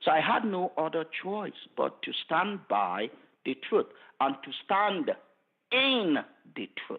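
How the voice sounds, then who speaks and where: Very slow delivery in a Nigerian accent, with long, frequent pauses, very wide pitch swings and big swings in loudness. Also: man, high pitch for a man. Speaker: forensic pathologist. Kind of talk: interview answer.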